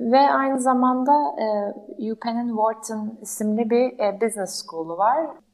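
A woman talks at a fairly slow pace in a fairly high pitch. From Turkey, Ankara. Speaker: startup founder. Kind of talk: interview. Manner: hesitant, many fillers.

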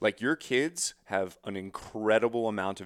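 In a very clean recording with a silent background and a dry, close sound with no echo, a man uses a normal speaking voice, fairly low in pitch, with ordinary pitch variation at a moderate pace. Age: 30s. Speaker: hunting YouTuber. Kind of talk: casual chat.

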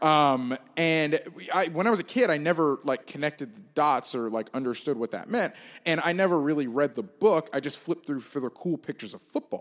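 A man speaks in a normal speaking voice with an American accent, fairly high in pitch and fairly quick. His intonation is lively, and the recording is very clean with a silent background. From Gainesville, Florida. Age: 20s. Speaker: sports journalist. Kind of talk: casual chat. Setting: soundproof podcast studio.

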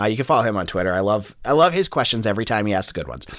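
A man with an American accent talks with very wide pitch swings and vocal fry. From Boston area. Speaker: sports podcast host. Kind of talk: casual sports podcast monologue.

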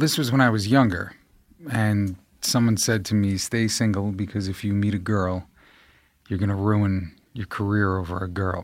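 A man with a New York accent speaks at a moderate pace in a fairly low pitch. His intonation is fairly even, and the recording is very clean with a silent background. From New York, Staten Island. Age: 40s. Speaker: actor. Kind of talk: casual chat.

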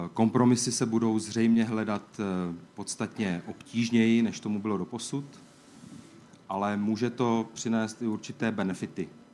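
The tone is dark and mellow, with flat, monotone intonation. The pace is moderate. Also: man, medium pitch for a man. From Czech Republic. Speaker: EU official. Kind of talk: opening speech.

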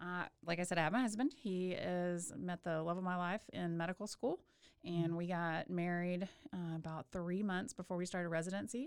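Recorded very cleanly against a silent background, a woman with a fairly low pitch speaks at a fairly quick pace with ordinary pitch variation in an unremarkable speaking voice. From Texas, Waco. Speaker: obstetrician. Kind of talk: casual interview. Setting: studio.

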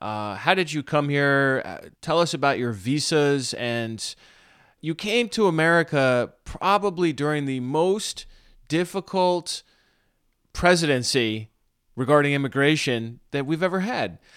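A man with a plain, everyday voice talks at a fairly slow pace in a fairly high pitch with lively intonation. The recording is very clean, with a silent background. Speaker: pastor and podcast host. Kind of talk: interview.

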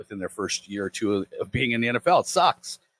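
In an unremarkable speaking voice, a fairly low-pitched man talks at a moderate pace, with a dry, close sound with no echo on a very clean recording with a silent background. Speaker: fantasy football analyst co-host. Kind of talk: casual sports podcast chat.

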